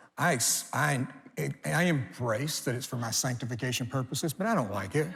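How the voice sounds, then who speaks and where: Lively intonation amid audible room echo and noticeable background noise. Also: man. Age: 60s. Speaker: pastor. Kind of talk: sermon. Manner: animated.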